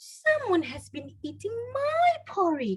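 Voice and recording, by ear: In a put-on character voice, a female-sounding speaker is soft-spoken, with an extremely high pitch and a fairly slow pace.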